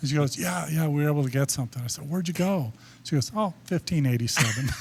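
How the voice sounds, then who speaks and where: A somewhat breathy man speaks at a very fast pace, his fairly high pitch showing ordinary variation. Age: 70s. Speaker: sports photographer. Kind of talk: podcast interview.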